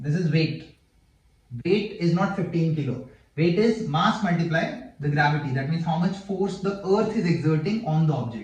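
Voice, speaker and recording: A man speaks at a moderate pace in a high voice. Room echo and background noise are both audible. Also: ordinary pitch variation. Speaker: physics teacher. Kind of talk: tutorial.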